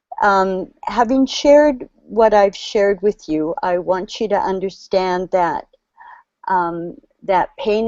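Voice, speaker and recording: A woman speaks at a medium pitch and a fairly slow pace. Her pitch varies in an ordinary way. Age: 60s. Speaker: community worker. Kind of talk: testimony. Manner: halting.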